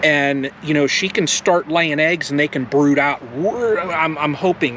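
Light background noise sits beneath a man speaking at a very slow pace with ordinary pitch variation. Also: dry sound with no echo. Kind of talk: casual vlog chat. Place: garden. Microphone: camera far.

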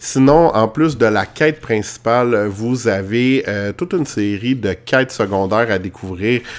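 A man with a Quebec accent talks fairly slowly at medium pitch, with ordinary pitch variation. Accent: Québécois French. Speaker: video game reviewer. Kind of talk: game review. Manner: hesitant with many fillers.

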